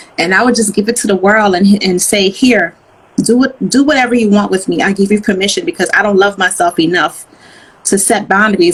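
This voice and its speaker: A woman speaks at a very fast pace in an animated tone, at medium pitch with ordinary pitch variation. Noticeable background noise runs behind her. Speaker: motivational speaker and author. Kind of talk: interview testimony. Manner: loud.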